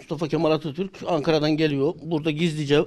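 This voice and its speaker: The man talks at a moderate pace. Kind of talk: interview answer. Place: hall. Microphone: handheld.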